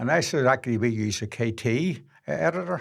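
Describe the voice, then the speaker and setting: A man's medium-pitched voice with vocal fry. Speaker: filmmaker. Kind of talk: interview answer.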